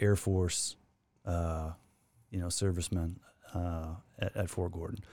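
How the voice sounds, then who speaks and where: A man talks with a Canadian prairie accent in a dark, mellow tone. The recording is very clean, the background silent. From Saskatchewan, Canada. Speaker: former pro hockey player. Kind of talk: casual chat.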